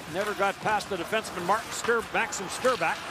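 Over loud background noise, a man speaks in a high voice with ordinary pitch variation, the sound dry with no echo. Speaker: hockey commentator. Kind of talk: live sports commentary, rapid play-by-play of action on the ice. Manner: clipped, descriptive, steady narration. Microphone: headset.

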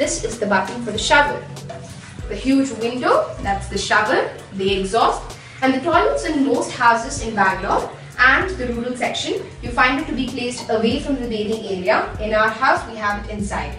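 Clear music plays in the background as a woman talks. Room echo is audible. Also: moderate pace. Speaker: home tour guide. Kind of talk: casual tour narration. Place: bathroom.

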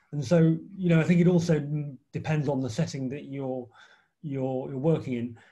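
A man's fairly high, somewhat breathy voice, dark and mellow in tone, at a moderate pace with fairly even intonation, over a quiet background. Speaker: clinical trial researcher panelist; panelist. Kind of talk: academic panel discussion. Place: home room. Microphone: video call.

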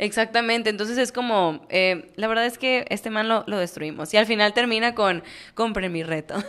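Against a quiet background, a woman speaks at a moderate pace in an animated tone, her fairly high pitch showing ordinary pitch variation. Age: 20s. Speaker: podcast co-host. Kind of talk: casual chat. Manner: animated, laughing often. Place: studio. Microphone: studio mic.

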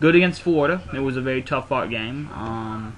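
Light background noise runs under a man speaking at a moderate pace. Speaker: sports fan vlogger. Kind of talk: casual vlog commentary. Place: home room. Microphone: webcam.

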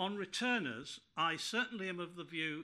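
This man has a bright, sharp tone, lively intonation and a fairly high pitch, and he speaks at a moderate pace. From northern England. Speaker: peer and former terrorism legislation reviewer; panelist. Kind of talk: conference panel talk. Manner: formal. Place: meeting room.

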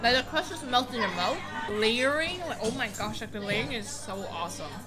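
Clear music plays in the background. A woman is speaking. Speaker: food vlogger. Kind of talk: casual vlog chat. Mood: delighted, enthusiastic. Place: cafe.

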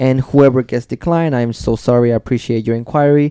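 In a quiet background with a dry sound and no echo, a man of medium pitch speaks at a moderate pace with fairly even intonation and a dark, mellow tone. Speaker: tattoo artist and podcast host; podcast host. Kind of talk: casual chat. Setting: studio. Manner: loud. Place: studio. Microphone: studio mic.

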